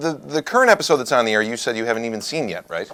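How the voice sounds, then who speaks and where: A loud male voice with very wide pitch swings and a bright, sharp tone. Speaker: talk show host. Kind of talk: comedic talk show banter. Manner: animated.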